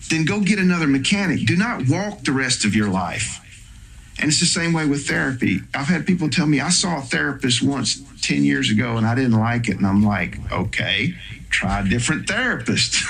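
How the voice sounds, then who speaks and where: At a moderate pace, a man with an American accent makes very wide pitch swings while keeping his loudness very even, with audible room echo. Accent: Southern US accent, stronger when tired. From US South. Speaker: psychotherapist. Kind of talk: interview. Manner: casual, conversational.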